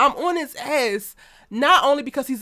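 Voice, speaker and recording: With an American accent, a woman speaks at a high pitch in an animated tone with lively intonation. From Baltimore, US. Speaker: TV commentary YouTuber. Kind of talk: casual livestream chat. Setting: livestream. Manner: fast.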